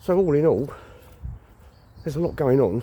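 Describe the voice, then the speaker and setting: His tone is dark and mellow. The man sounds somewhat breathy. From England, London and Kent. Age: 60s. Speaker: vlogger. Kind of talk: personal vlog monologue. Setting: outdoors on a walk.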